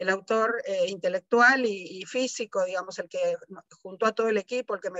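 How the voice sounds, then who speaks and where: A fairly high-pitched woman's voice at a fairly quick pace, with fairly even intonation. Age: 60s. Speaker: biologist. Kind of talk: panel talk. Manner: hesitant, many fillers.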